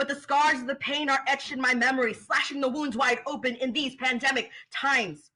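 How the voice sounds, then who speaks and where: A woman's raised, projected voice with an American accent, high-pitched with a bright, sharp tone. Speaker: spoken word poet. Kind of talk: spoken word poetry performance.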